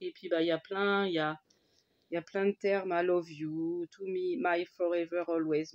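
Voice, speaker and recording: Her intonation is fairly even and her pitch medium for a woman. The sound is dry and close, without echo. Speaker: crafter. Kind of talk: casual talk to camera.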